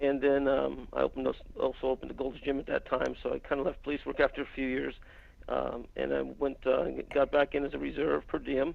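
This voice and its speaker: A man speaks with a Californian accent. His pace is fairly quick. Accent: General American (Californian). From US West Coast (San Francisco Bay Area). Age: 60s. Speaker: former police officer and private investigator. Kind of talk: conference call interview. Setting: conference call.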